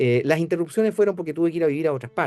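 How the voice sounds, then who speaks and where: With music in the background, a man speaks in a Chilean accent. His intonation is lively. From Chile, Santiago. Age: 70s. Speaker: priest and liturgy professor. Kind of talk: interview. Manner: halting, many fillers.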